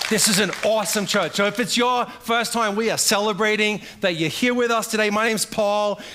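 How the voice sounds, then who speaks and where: A man with a high pitch speaks in a raised, projected voice and an animated tone at a fairly quick pace. His loudness is very even, he leaves hardly any pauses, and noticeable background noise is present. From Australia. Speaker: pastor. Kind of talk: sermon. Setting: church.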